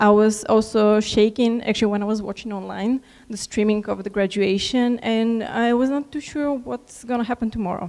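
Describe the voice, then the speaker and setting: A woman with a fairly high pitch speaks at a moderate pace in a nervous, shaky tone with ordinary pitch variation. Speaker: alumni keynote speaker. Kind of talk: keynote speech. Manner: shaky, nervous.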